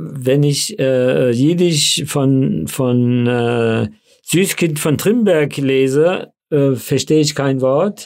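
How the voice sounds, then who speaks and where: Speaking very slowly, a man holds a medium pitch with ordinary pitch variation and very even loudness. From Frankfurt, Hesse (childhood in DP camp near Munich). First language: Yiddish (speaking German). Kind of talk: interview. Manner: hesitant with fillers.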